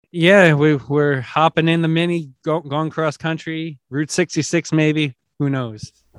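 In an unremarkable speaking voice, a man talks fairly slowly with a fairly high pitch and fairly even intonation. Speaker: podcast producer.

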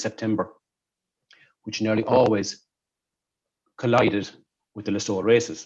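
In a Kerry accent, a man talks at a moderate pace with a fairly low, monotone, flat delivery. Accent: Kerry Irish. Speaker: artistic director of a folk theatre. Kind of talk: casual interview chat. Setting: video call. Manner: halting, many repetitions.

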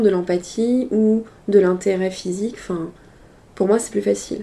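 At a fairly slow pace, a woman with a plain, everyday voice talks at a medium pitch, her intonation fairly even. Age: 30s. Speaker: sex worker. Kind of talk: casual interview conversation.

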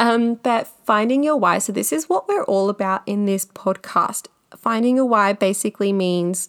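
A woman speaks with an Australian accent. Her pitch is fairly high with ordinary variation. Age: 30s. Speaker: podcast host and makeup artist. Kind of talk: solo podcast monologue. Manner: animated.

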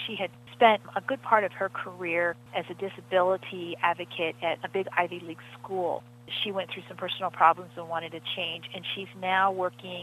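A woman talks at a moderate pace, her pitch medium. She has an ordinary speaking voice. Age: 50s. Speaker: financial journalist. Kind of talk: interview.

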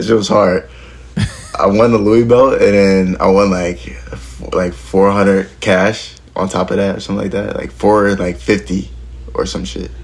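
Noticeable background noise sits behind a man speaking with an American accent. His fairly low voice swings very widely in pitch at a fairly slow pace. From Philadelphia area, US. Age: 20s. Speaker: professional skateboarder. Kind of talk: casual interview chat.

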